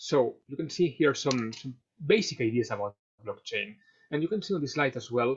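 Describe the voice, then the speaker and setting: Lively intonation in a man's somewhat breathy voice. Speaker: fintech advisor and webinar speaker. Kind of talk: webinar presentation. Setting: online webinar. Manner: fast; many fillers and repetitions.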